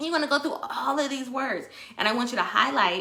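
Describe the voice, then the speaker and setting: A woman is speaking. Audible echo from the room carries her voice. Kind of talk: online workshop talk. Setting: Facebook live stream. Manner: high energy.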